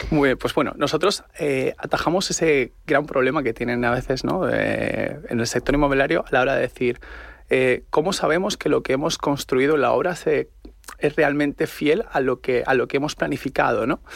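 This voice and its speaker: This man keeps his loudness very even. He talks at a moderate pace. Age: young. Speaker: tech startup operations director. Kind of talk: radio interview.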